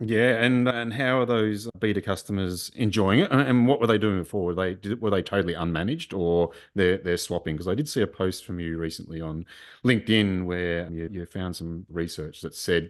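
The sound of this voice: At a moderate pace, a man talks at a low pitch with ordinary pitch variation.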